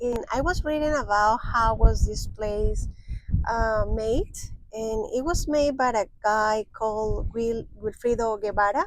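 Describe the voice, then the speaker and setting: A woman's fairly high voice in a Spanish accent, fairly slow, with ordinary pitch variation. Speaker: travel vlogger. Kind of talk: casual chat.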